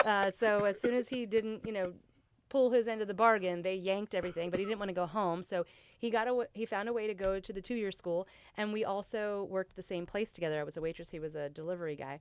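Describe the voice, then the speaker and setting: Speaking very fast, a woman with an American accent uses a medium pitch. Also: ordinary pitch variation. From US Southeast. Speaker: former pharmaceutical sales rep. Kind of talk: casual interview. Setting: studio. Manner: loud.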